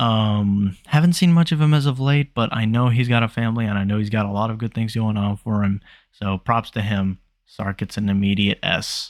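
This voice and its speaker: A man's fairly low voice at a moderate pace with ordinary pitch variation, dry and close with no echo, on a very clean recording with a silent background. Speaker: YouTuber ranking gaming creators. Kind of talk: casual commentary video. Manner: subdued, unenthusiastic tone; quiet, not loud.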